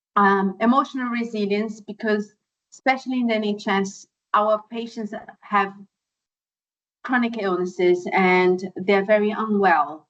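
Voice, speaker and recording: A woman speaks with fairly even intonation. She leaves long, frequent pauses. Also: medium pitch for a woman, fairly slow pace. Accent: non-native. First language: not English. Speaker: podiatrist. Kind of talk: webinar presentation. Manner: hesitant, many fillers.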